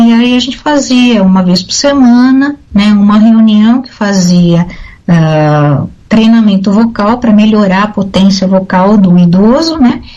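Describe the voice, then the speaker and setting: An ordinary speaking voice, a woman at a fairly slow pace with lively intonation. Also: fairly high pitch for a woman. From Brazil, São Paulo. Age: 60s. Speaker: retired air force officer and speech therapist. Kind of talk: radio interview.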